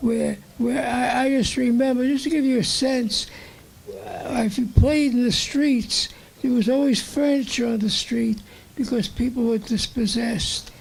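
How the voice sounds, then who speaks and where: Someone with a New York accent speaks at a fairly slow pace over noticeable background noise. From Brooklyn, New York. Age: 80s+. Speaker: audience member. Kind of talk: audience comment.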